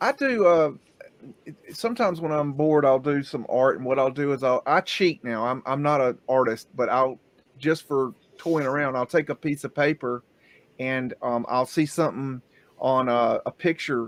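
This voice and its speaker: This man has an ordinary speaking voice, fairly high in pitch, with ordinary pitch variation. He talks at a moderate pace, and the sound is dry and close with no echo. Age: 50s. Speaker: livestream podcast host. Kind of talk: casual chat.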